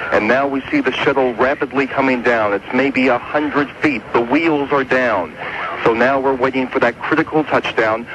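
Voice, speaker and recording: Amid noticeable background noise, a man speaks at a moderate pace with fairly even intonation and very even loudness. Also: medium pitch for a man. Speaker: radio field correspondent. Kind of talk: live radio commentary of shuttle landing, 1985 news report. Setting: outdoors at air force base, live broadcast. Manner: measured, descriptive, building suspense.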